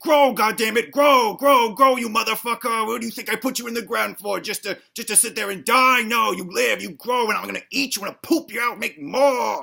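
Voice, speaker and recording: Shouting in a put-on character voice, the speaker rushes along at a fairly quick pace and fairly high pitch with hardly any pauses. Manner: angry yelling.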